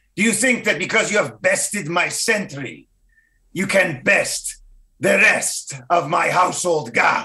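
In a put-on character voice, a man speaks with a raised, projected, raspy delivery at a high pitch. His loudness stays very even and his pace is fairly slow. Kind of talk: mock-formal medieval speech. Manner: commanding, haughty bluff.

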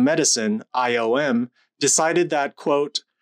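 Lively intonation marks a man's speech against a quiet background. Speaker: lecturer. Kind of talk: lecture. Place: home room. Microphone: studio mic.

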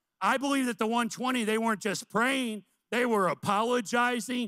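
With an American accent, a man projects a raised voice at a high pitch in a bright, sharp tone. He keeps a moderate pace with ordinary pitch variation against a quiet background. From US Midwest, central Illinois. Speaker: missions pastor. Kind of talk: sermon. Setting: church. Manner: animated. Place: church. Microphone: handheld.

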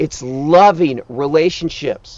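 Lively intonation marks a man's voice, recorded dry with no echo. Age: 50s. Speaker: life coach. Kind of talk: motivational talk; sales pitch. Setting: outdoors. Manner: urgent. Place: open country.

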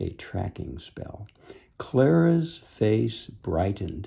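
With a dark, mellow tone and lively intonation, a man speaks at a fairly low pitch against a quiet background. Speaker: reader of a children's book. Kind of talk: read-aloud storytelling. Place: home room. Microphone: phone near.

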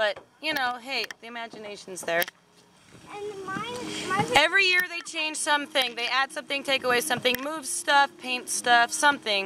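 A dry sound with no echo and noticeable background noise. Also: moderate pace. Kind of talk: casual vlog chat. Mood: relaxed, amused. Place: garden. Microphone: phone near.

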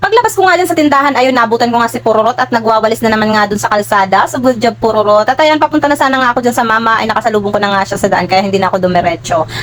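Over noticeable background noise, a woman with a fairly high pitch talks very fast with lively intonation and hardly any pauses. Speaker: vlogger. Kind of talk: vlog voice-over narration. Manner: stumbling over words.

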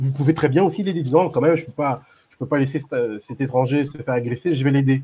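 A man speaks at a very fast pace in a dark, mellow tone, somewhat breathy. His pitch is fairly high for a man, with ordinary pitch variation. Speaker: YouTube channel creator, debate participant; guest, channel host. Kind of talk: online group debate. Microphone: microphone problem; video call.

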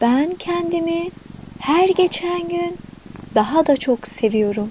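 A woman's very slow, calm, soothing voice with lively intonation over noticeable background noise. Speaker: affirmation narrator and channel owner. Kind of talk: guided affirmation / meditation narration. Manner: calm, soothing, slow.

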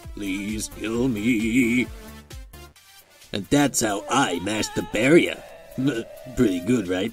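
Over faint background music, a man in a put-on character voice speaks at a very slow pace and a medium pitch. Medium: fan dub. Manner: deadpan, laid-back.

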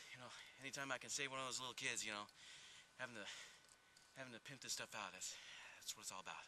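A bright, sharp voice at a very fast pace with fairly even intonation, in a dry sound with no echo and light background noise. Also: man. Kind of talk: interview answer, mock-serious comedy. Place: farm machine.

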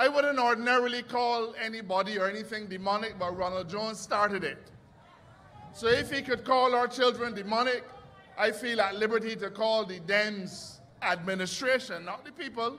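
A man with a Barbadian accent uses a raised, projected voice, high in pitch for a man. His pitch varies in an ordinary way, and there is noticeable background noise. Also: moderate pace. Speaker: politician. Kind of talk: political rally speech. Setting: outdoor stage with audience.

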